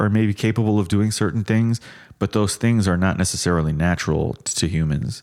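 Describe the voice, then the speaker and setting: In an ordinary speaking voice, a man with fairly low pitch talks at a moderate pace with lively intonation. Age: 30s. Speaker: podcast co-host. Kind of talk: casual chat. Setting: on location in Miami.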